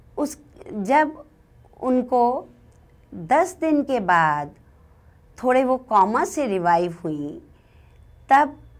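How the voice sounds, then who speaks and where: A woman speaks with very wide pitch swings. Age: 60s. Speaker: hospital manager and fitness instructor. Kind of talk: first-person storytelling.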